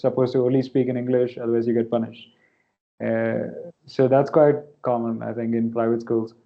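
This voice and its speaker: Speaking with a Keralan accent, a man has a medium pitch. His intonation is monotone and flat. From India, Kerala. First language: Malayalam. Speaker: novelist. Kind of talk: Q&A interview at academic event.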